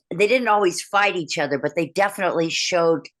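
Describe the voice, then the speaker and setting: Against a quiet background, a woman talks at a fairly quick pace with a fairly low pitch and ordinary pitch variation. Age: 60s. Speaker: heavy metal vocal coach. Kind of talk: interview. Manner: animated, halting with restarts.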